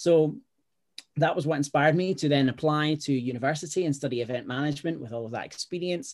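Recorded very cleanly against a silent background, a man with a Scottish accent and a fairly high pitch talks at a very fast pace with ordinary pitch variation. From Scotland. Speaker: startup founder and educator. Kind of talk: casual interview chat.

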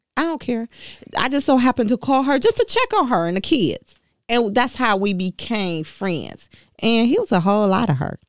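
A woman talks in a normal speaking voice with an American accent, fairly high in pitch, at a moderate pace. Her intonation is lively, and the sound is dry and close with no echo. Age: 40s. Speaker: auto worker and union rep. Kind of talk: interview testimony.

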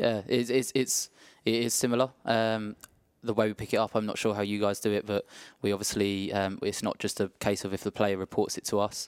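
In a dry, close sound with no echo, a man with a fairly low pitch speaks at a fairly quick pace in a monotone, flat intonation. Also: very clean recording, silent background. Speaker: physiotherapist. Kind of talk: interview.

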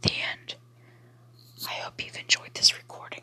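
Whispering in a gentle tone over noticeable background noise. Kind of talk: ASMR reading aloud of a bedtime story book. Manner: soft, hushed, lulling sing-song cadence for the gentle lines.

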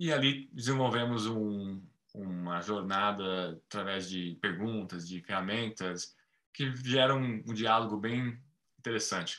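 Speaking at a fairly slow pace, a man with a fairly low pitch has a bright, sharp tone and ordinary pitch variation. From Brazil. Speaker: market analyst and nonprofit president. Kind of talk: interview.

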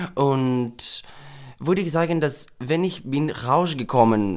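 Very slow speech in a Greek accent, with ordinary pitch variation. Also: man. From Greece. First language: Greek (speaking German). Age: 20s. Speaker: drag queen. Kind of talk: interview. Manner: halting.

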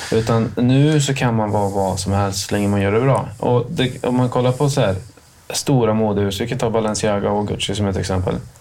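A man's fairly low voice, fairly quick in pace with ordinary pitch variation, in audible room echo. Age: 30s. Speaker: podcast co-host. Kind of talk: casual chat.

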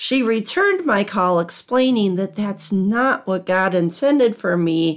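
A woman with a Midwestern American accent speaks at a fairly slow pace with lively intonation, on a very clean recording with a silent background. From US Midwest, Southwest Michigan. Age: 50s. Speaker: podcast host and librarian. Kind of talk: personal talk, church speech shared on podcast.

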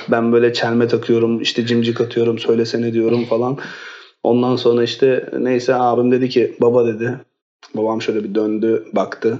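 A man talks at a moderate pace in a dark, mellow tone at medium pitch. His intonation is monotone and flat. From Istanbul, Turkey. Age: 30s. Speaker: education consultancy director. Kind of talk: casual interview. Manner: hesitant, many fillers.

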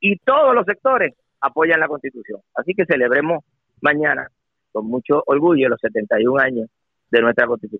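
The speaker is a man with a fairly high voice. His intonation is lively and his pace moderate. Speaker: politician. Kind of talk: radio interview. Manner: halting.

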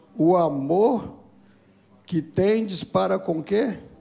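Speaking very slowly, a man uses a high pitch and lively intonation. His tone is dark and mellow. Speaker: pastor. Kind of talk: sermon. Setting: church service.

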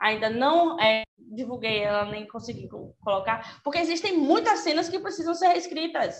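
With very wide pitch swings, a woman speaks at a high pitch and a moderate pace. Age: 20s. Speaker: journalist and fanfiction author. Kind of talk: casual chat.

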